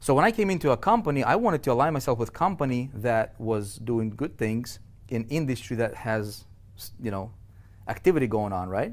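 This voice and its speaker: A man talks at a moderate pace with lively intonation and a non-native accent. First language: not English. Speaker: online business coach. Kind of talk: webinar presentation. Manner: halting, many repetitions and fillers; animated.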